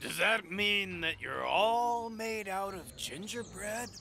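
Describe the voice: A cartoonish character voice, fairly high in pitch and fairly slow, over clear background noise.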